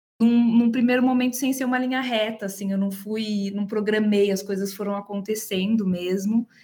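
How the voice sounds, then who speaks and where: At a moderate pace and with hardly any pauses, a woman speaks fairly high in pitch with fairly even intonation. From Brazil, Campinas (interior of São Paulo state). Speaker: HR manager. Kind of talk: interview.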